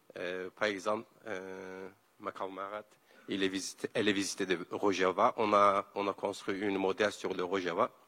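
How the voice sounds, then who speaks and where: Speaking at a moderate pace with a Kurdish accent, a man has a fairly low pitch and a dry, close sound with no echo. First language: Kurdish (speaking French). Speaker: environmental activist. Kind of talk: panel talk. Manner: halting.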